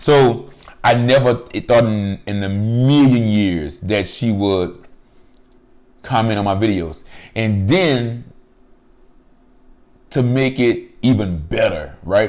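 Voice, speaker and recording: At a very slow pace, a man with a medium pitch speaks with long, frequent pauses. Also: lively intonation. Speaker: mukbang youtuber. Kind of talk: casual chat while eating. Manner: relaxed, chatty.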